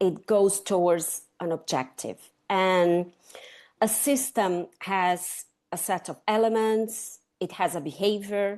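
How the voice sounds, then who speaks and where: A woman's medium-pitched voice with a Latin American accent, very slow pace, and ordinary pitch variation against a quiet background. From Chile, raised in Brazil. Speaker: sustainability consultant. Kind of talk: interview conversation.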